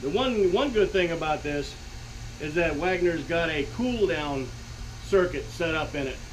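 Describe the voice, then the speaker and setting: Audible room echo surrounds a man's high-pitched voice. He talks fairly slowly. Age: 60s. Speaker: DIY workshop video maker. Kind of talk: tutorial. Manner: halting, with many fillers.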